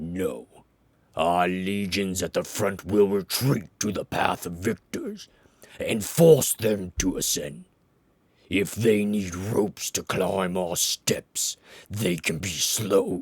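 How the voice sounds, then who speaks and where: In a put-on character voice, a man sounds booming and raspy while speaking at a very slow pace. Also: fairly low pitch for a man. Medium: read story. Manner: measured, authoritative.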